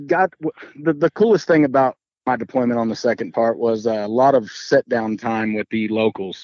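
At a fairly slow pace, a man with an American accent speaks with very wide pitch swings. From Texas Panhandle. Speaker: Marine veteran. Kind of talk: casual interview chat.

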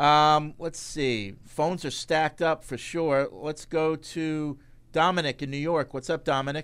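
A man with an ordinary speaking voice talks at a fairly slow pace in a fairly high register with fairly even intonation. The recording is very clean, with a silent background. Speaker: sports podcast host. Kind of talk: casual sports talk. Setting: studio at a stadium.

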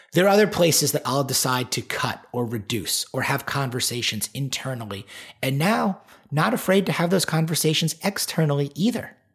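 A man with an American accent speaks in a somewhat breathy, fairly high voice with lively intonation. The recording is very clean, with a silent background. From Long Island, New York. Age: 40s. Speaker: performance coach. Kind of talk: casual interview.

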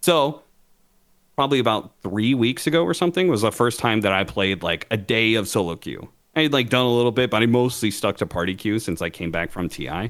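A man's ordinary speaking voice, medium in pitch, with lively intonation and a fairly quick pace. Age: 30s. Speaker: esports podcast co-host. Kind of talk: casual chat.

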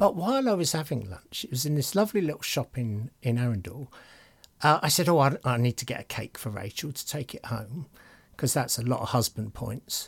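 A man's mid-pitched, somewhat breathy voice with lively intonation and a fairly quick pace, on a very clean recording with a silent background. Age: 60s. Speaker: podcast co-host. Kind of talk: casual chat.

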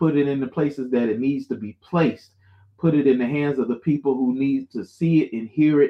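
A man with an American accent talks at a moderate pace in a medium pitch, an ordinary speaking voice. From Florida (Jacksonville). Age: young. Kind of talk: casual interview chat. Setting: live-streamed show.

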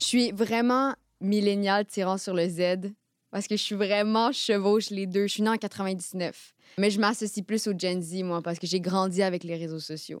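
On a very clean recording with a silent background, a woman speaks at a fairly slow pace. Her pitch is medium and her intonation fairly even. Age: 20s. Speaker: journalist. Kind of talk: interview testimony.

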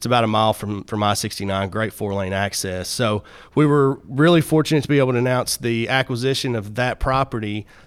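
A man talks at a fairly quick pace with ordinary pitch variation. The recording is very clean, with a silent background. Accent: American. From Marshall County, Kentucky. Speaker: economic developer. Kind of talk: interview. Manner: hesitant, with fillers.

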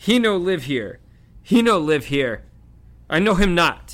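A man's put-on character voice, high-pitched and fairly bright, with big pitch swings and a slow pace.

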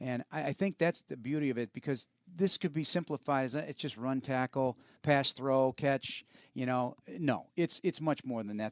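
A man speaks in an upbeat, enthusiastic tone at a medium pitch with ordinary pitch variation. The very clean recording has a silent background and a dry, close sound with no echo. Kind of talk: radio DJ patter: polished sports-radio host intros, sponsor reads and sign-offs.

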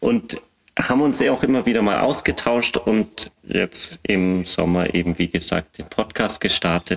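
Dry and close with no echo, a man's normal speaking voice moves fairly slowly at a fairly low pitch with lively intonation. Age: 30s. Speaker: battery test engineer and podcaster. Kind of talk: casual expert discussion.

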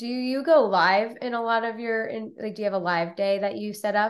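Against a quiet background, a woman talks in a normal speaking voice at medium pitch, with ordinary pitch variation and a fairly quick pace. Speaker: podcast host. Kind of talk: casual interview.

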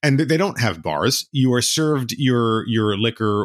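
A man with an ordinary speaking voice talks at medium pitch and a fairly slow pace in a very clean recording with a silent background. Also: dry, close sound with no echo. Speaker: author and guest host. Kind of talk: casual chat.

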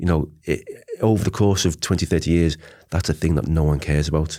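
A man with a very deep, low voice speaks with ordinary pitch variation in a very clean recording with a silent background. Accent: Liverpool. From Liverpool, England. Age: 40s. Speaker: advertising lecturer, former creative director. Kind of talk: casual debate interview.

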